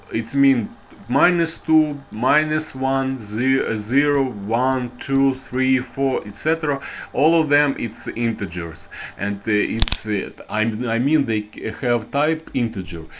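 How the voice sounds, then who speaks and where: Very slow speech in a strong Russian accent, with noticeable background noise. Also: man, medium pitch for a man, ordinary pitch variation. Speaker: programming teacher. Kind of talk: tutorial. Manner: halting, many fillers and restarts.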